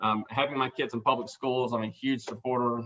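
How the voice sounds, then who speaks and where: This is a man with an Alabama accent. His pitch sits in the medium range. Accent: Southern US (Alabama). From South Alabama. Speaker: board chairman. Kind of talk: meeting chair introduction. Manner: halting, many fillers.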